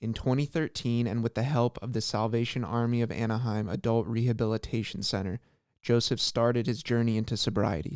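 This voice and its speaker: A man with a plain, everyday voice talks at a medium pitch and a fairly quick pace, his intonation fairly even. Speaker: podcast interviewer. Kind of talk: introduction read.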